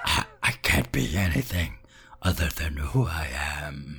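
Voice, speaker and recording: Raspy and very deep, a man's low-pitched put-on character voice comes through. He talks at a fairly slow pace. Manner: deadpan, demonic.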